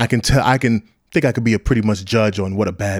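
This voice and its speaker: On a very clean recording with a silent background, a man talks at a fairly quick pace in a fairly low pitch. He has an unremarkable speaking voice with ordinary pitch variation. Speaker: wrestling podcast host. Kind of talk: profane angry rant insulting critics. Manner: heated, crude and contemptuous, repeating jabs; rambling, stumbles and self-corrects.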